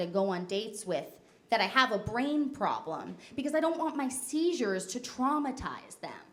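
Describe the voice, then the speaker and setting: With an American accent, a woman speaks at a high pitch and a fairly quick pace, her pitch swinging very widely amid audible room echo. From New Jersey. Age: 20s. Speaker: comedian. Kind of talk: stand-up.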